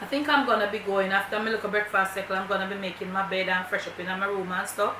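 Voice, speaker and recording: Very fast speech in a Jamaican accent, fairly even in intonation, over noticeable background noise. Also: woman, medium pitch for a woman. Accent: Jamaican, with patois. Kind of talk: casual vlog talk to camera.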